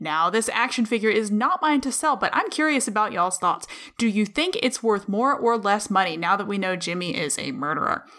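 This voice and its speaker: Talking at a fairly quick pace, a woman with a fairly high pitch makes very wide pitch swings. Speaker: podcast co-host. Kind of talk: casual banter podcast. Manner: playful, joking.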